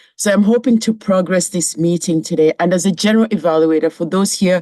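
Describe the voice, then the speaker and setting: A woman with a Kenyan accent speaks with lively intonation, recorded with a dry, close sound and no echo. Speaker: club general evaluator. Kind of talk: meeting role speech.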